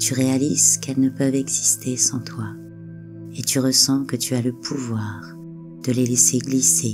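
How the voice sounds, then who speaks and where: A woman's fairly slow speech with music in the background. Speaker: relaxation and hypnosis guide. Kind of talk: hypnotic relaxation guide. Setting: over background music. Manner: soft, slow, calming.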